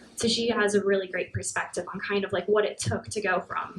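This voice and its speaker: Soft-spoken woman over noticeable background noise. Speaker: engineering manager. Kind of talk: talk at a meetup; audience Q&A. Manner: fast.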